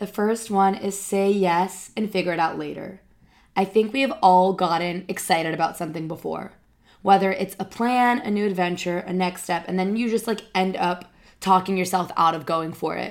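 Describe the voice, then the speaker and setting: An ordinary speaking voice at a moderate pace, with fairly even intonation, on a very clean recording with a silent background. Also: woman, medium pitch for a woman. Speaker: life coach podcaster. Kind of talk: motivational pep talk. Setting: solo podcast. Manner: earnest, conversational.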